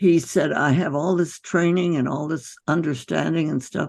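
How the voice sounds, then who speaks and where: Over a quiet background, a woman speaks with a very deep, low pitch. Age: 80s+. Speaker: physician. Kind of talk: interview answer.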